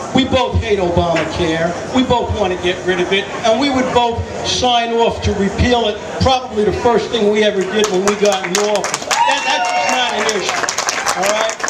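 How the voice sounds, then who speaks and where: A man with an American accent and a high pitch speaks at a moderate pace with ordinary pitch variation and very even loudness. Audible room echo and noticeable background noise fill the recording. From New York City. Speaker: political candidate. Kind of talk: campaign speech. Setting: outdoor picnic with audience.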